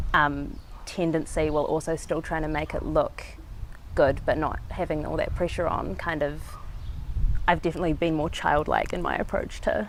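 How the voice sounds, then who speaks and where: Over noticeable background noise, a woman speaks with a New Zealand accent. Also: moderate pace. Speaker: street artist. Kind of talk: interview. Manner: halting.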